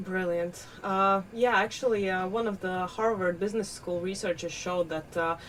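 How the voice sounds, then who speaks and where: Fairly even intonation from a woman with a fairly low pitch. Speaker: podcast host. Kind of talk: podcast interview. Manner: halting, many filler sounds.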